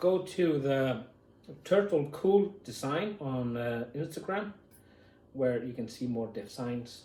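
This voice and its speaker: Speaking at a very slow pace, a man with a dark, mellow, somewhat breathy tone uses lively intonation amid audible room echo. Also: fairly high pitch for a man. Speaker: YouTuber. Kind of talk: unboxing video, casual talk to camera. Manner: halting, many fillers.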